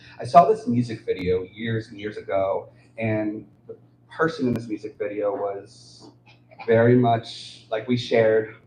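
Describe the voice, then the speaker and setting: Big swings in loudness mark this man's speech, heard over noticeable background noise. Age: 30s. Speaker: author and poet. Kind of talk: livestream talk about own books. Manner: halting.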